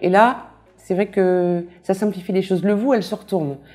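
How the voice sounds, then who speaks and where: A woman speaks at medium pitch and a moderate pace in a dark, mellow tone. The recording is very clean, the background silent. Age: 60s. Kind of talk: testimony. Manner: hesitant, many fillers.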